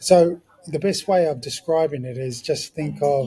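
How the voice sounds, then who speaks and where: With ordinary pitch variation, a man in a New Zealand accent speaks over noticeable background noise. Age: 40s. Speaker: ex-professional rugby league player. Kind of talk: podcast interview. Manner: animated.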